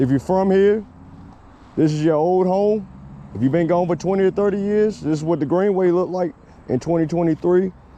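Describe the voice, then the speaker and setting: A man with a Virginia accent speaks at a fairly quick pace in a high pitch and a dark, mellow tone, with very even loudness and long, frequent pauses. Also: ordinary pitch variation. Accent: Southern US (Virginia). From US South, Roanoke, Virginia. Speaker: vlogger. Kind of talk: casual vlog narration. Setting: outdoors, riding a scooter on a trail. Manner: casual, conversational.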